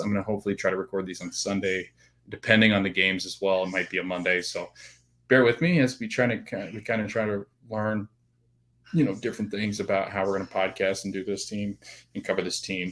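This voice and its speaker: In a very clean recording with a silent background, a man talks at a fairly quick pace. His pitch is fairly low, and his intonation is fairly even. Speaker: podcast host. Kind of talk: solo podcast monologue. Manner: fast.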